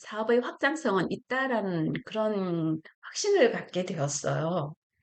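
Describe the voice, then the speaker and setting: The woman's pitch is medium, yet it rises and falls over a very wide range. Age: 60s. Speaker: retired YouTuber, former online seller. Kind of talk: casual vlog talk. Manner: halting, with fillers and self-corrections.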